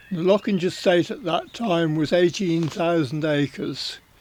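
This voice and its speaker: Speaking in an English accent, a man talks at a fairly slow pace. His voice is high, with ordinary pitch variation. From southern England, Berkshire. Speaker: racing journalist. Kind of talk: life story interview. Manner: halting.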